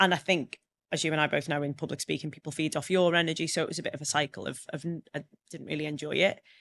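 Speaking very fast, a woman with a very deep, low voice comes across dry and close with no echo against a quiet background. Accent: Liverpool. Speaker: public speaker and trainer. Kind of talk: casual interview chat. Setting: studio. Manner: animated, humorous.

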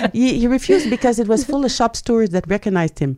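Through a very clean recording with a silent background, a woman with a Quebec accent speaks at a fairly quick pace with lively intonation and a dark, mellow tone. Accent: French Canadian accent in English. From Quebec, Canada (French Canadian). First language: French. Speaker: journalist and writer. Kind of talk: interview.

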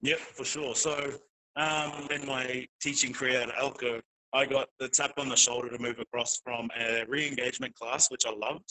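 In an Australian accent, the speaker keeps a moderate pace and a monotone, flat intonation. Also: man, medium pitch for a man. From North Queensland, Australia. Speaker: teacher. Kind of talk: interview. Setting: parents' room of a child play area. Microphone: poor internet audio.

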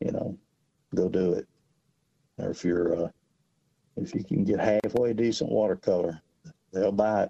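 A man with a Southern US accent speaks at a moderate pace in a dark, mellow tone and fairly low pitch, with ordinary pitch variation, long, frequent pauses and a dry, close sound with no echo. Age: 60s. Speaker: fishing guide. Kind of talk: casual radio chat. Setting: phone call.

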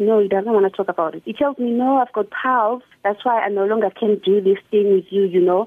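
A fairly high-pitched woman at a fairly quick pace, with ordinary pitch variation. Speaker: radio caller. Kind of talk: phone-in call. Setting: phone call. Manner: loud.

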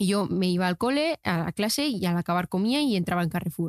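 Recorded very cleanly with a silent background and a dry, close sound with no echo, a woman of medium pitch talks at a fairly quick pace. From Spain, small town. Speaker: TikTok content creator. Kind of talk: casual interview chat. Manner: animated.

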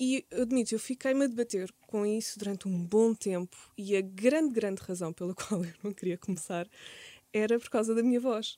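Here a woman speaks at a fairly high pitch in a dark, mellow tone, with ordinary pitch variation. The sound is dry and close, with no echo. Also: moderate pace. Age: 30s. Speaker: content creator and podcaster. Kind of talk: casual interview.

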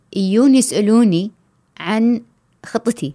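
The tone is dark and mellow. The sound is dry and close, without echo. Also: woman. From Kuwait. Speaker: travel blogger. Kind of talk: casual chat.

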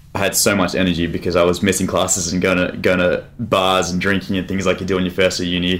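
Very deep and low, a man's voice races at a very fast pace with hardly any pauses, flat monotone intonation and very even loudness over noticeable background noise. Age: 20s. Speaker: former boxer and mentor. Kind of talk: casual chat.

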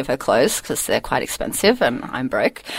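A woman with an Australian accent. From Australia, northern New South Wales and Queensland. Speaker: painter. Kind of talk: casual interview.

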